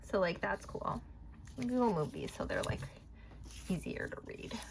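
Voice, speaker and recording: Noticeable background noise runs through this clip. A woman talks at a moderate pace. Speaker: tarot and oracle card reader. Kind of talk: casual card reading tutorial. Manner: mumbling; rambling, filler-heavy.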